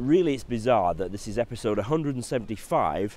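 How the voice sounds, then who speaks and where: With a Yorkshire accent, the speaker talks at a very fast pace. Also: man. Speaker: financial adviser. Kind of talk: tutorial. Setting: outdoors. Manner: casual, hesitant with fillers.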